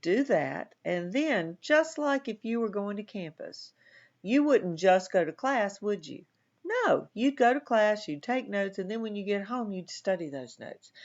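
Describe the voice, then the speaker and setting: A woman with a Southern US accent speaks at a fairly slow pace in a fairly high voice, with very wide pitch swings and big swings in loudness. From US South. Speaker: college instructor. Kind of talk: lecture. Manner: sometimes mumbles; casual, conversational.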